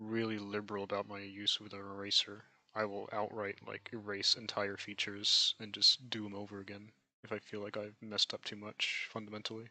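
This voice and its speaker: Soft-spoken yet with big swings in loudness, a man talks at a fairly low pitch and fairly quick pace with flat, monotone intonation. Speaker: amateur artist streaming a drawing demonstration. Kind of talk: live stream tutorial. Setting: live stream with voice chat.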